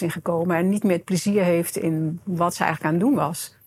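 A woman talks at a moderate pace in a fairly low, somewhat breathy voice, her pitch varying in an ordinary way. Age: 50s. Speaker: coach and self-employed entrepreneur. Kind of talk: podcast interview.

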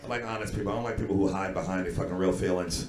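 Noticeable background noise sits behind a man with an American accent. He talks at a very fast pace and a fairly low pitch, with fairly even intonation. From New York (Brooklyn). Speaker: comedian and podcast host. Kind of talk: comedic banter. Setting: stage with audience.

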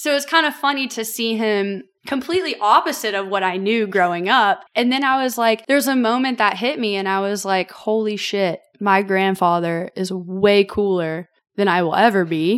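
Speaking in a Southern US accent, a woman keeps a moderate pace. Her medium-pitched voice has lively intonation. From Tennessee, Franklin. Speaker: distillery brand ambassador. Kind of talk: casual chat.

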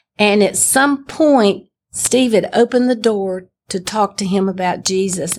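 Speaking in a Southern US accent, a woman holds a medium pitch with ordinary pitch variation. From Alabama, US South. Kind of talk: testimony. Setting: stage with audience.

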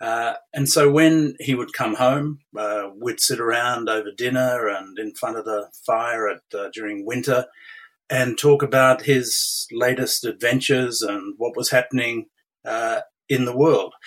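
A man speaks with an Australian accent at a fairly slow pace. His intonation is fairly even. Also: medium pitch for a man. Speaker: retired intelligence official and diplomat. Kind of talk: interview. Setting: remote call from Australia. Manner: halting, many fillers.

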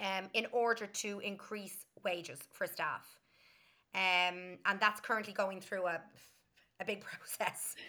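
A woman with a Dublin accent, a bright, sharp tone, fairly even intonation, a fairly slow pace and long, frequent pauses. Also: medium pitch for a woman. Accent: Dublin Irish. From Ireland, Dublin. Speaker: early childhood educator and teacher. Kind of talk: casual interview. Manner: talkative.

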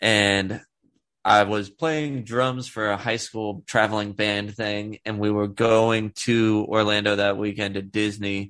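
A man with a fairly low pitch and fairly even intonation speaks at a very slow pace. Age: 30s. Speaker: podcast guest. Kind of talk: casual chat.

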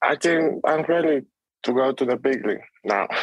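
A man with a Spanish accent, at a fairly slow pace, with ordinary pitch variation. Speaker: baseball prospect. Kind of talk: interview. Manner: halting.

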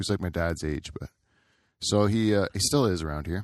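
An unremarkable speaking voice, a man's with fairly low pitch and a Canadian accent, comes through on a very clean recording with a silent background. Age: 40s. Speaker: podcast host. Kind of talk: casual chat.

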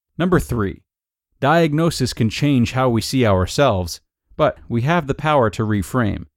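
A normal speaking voice from a man at medium pitch, with lively intonation at a moderate pace. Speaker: podcast host. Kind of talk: reading aloud; casual commentary.

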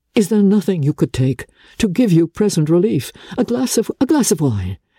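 Using a put-on character voice, a woman speaks at a moderate pace with a fairly low pitch, a dark, mellow tone, a slightly husky edge and big pitch swings, on a very clean recording with a silent background and a dry, close sound with no echo.

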